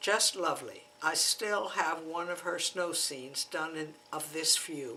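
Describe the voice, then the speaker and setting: Speaking at a fairly slow pace with hardly any pauses, a woman with a fairly low pitch keeps a fairly even intonation over noticeable background noise. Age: 80s. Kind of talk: memoir reading.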